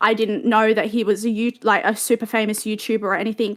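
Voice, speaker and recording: In an Australian accent, a woman talks at a fairly quick pace with a fairly high pitch. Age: 20s. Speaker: alleged victim telling her story. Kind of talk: testimony. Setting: online voice chat stage. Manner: halting, many fillers.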